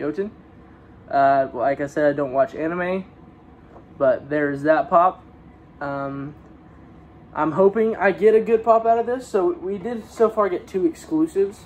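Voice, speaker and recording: Over light background noise, a man speaks at a fairly slow pace with lively intonation. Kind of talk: casual unboxing vlog chat. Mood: mildly excited. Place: home room. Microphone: phone near.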